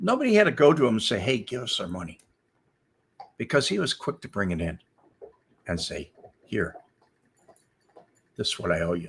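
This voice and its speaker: Somewhat breathy and medium-pitched, a man with an American accent talks at a fairly quick pace, swinging his pitch very widely and leaving long, frequent pauses. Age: old. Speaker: former FBI informant. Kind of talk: casual storytelling livestream.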